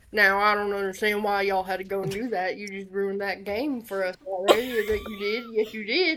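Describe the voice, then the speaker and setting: This female-sounding put-on character voice rumbles at a medium pitch, moving at a fairly quick pace with hardly any pauses. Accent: Southern. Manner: grumbling, muttering, pissed off.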